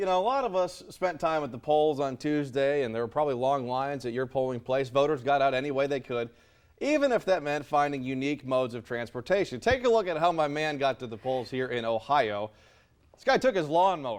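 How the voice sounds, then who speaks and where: Here a man speaks in an unremarkable speaking voice at a fairly high pitch. He moves at a fairly quick pace with ordinary pitch variation. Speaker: TV news anchor and reporter. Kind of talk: casual, conversational banter in a weather center.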